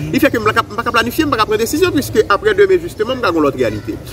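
A man speaking over noticeable background noise. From Haiti. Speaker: economist; economic commentator guest. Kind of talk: expert analysis. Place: garden.

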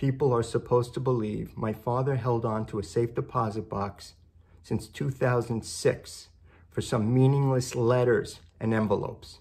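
A man talks fairly slowly at a medium pitch with a slightly mellow tone. His intonation is fairly even.

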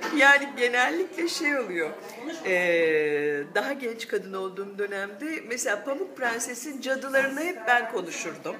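A woman speaks at a fairly slow pace with very wide pitch swings against noticeable background noise. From Turkey. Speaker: voice actor. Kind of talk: interview answer. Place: cafe.

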